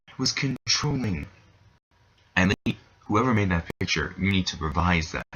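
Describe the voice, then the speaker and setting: A somewhat breathy man speaks with very wide pitch swings. The sound is dry and close, with no echo. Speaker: anime reviewer. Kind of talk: video review rant. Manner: animated; stuttering.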